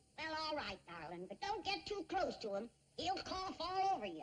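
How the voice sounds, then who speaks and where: A woman does a put-on character voice in a Southern US accent, pitched extremely high with very wide swings and delivered at a moderate pace. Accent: rural Southern hill country. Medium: short film. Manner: snappish, feisty.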